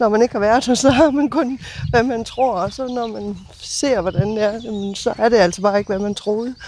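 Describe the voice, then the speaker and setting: There is noticeable background noise as a woman talks at a moderate pace, her fairly high pitch showing ordinary variation. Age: 60s. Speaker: neighbour of a departure centre. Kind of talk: interview. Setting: outdoors on garden terrace.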